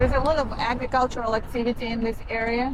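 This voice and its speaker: Against noticeable background noise, a woman with a Kazakh accent speaks at a fairly quick pace. Her pitch is high and her intonation fairly even. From Kazakhstan. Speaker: travel vlogger. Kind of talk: travel vlog narration. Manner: hesitant, many fillers.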